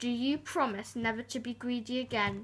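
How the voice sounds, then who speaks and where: This woman uses a put-on character voice pitched high. She is soft-spoken and talks at a moderate pace. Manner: calm but stern.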